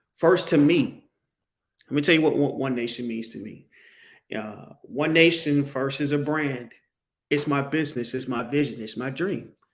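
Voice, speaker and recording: A man with an American accent speaks at a moderate pace and a fairly high pitch, with ordinary pitch variation, big swings in loudness, long and frequent pauses, and audible room echo. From Pittsburgh, Pennsylvania (US North). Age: 40s. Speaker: podcast host. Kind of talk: solo podcast monologue. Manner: halting, many restarts.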